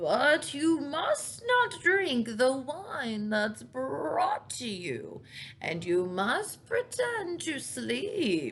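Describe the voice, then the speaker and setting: At a very slow pace, a woman uses a put-on character voice pitched high. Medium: read story.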